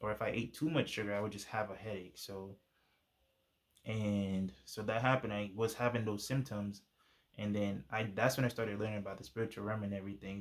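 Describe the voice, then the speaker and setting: The speaker is a man with a fairly low pitch. He talks at a fairly quick pace. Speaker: YouTuber sharing faith testimony. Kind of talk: testimony. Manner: fast; casual, halting with fillers.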